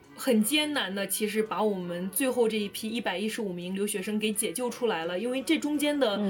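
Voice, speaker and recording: Over noticeable background noise, a woman talks at a fairly quick pace. Her voice is fairly high, with ordinary pitch variation. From northern China. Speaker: student evacuated from war zone. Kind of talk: personal storytelling in casual interview. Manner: animated.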